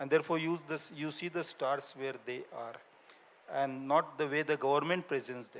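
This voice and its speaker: In a Gujarati accent, a man speaks at a moderate pace with a fairly high pitch and fairly even intonation. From India, Maharashtra village. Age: 70s. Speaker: linguist and author. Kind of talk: panel discussion. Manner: halting.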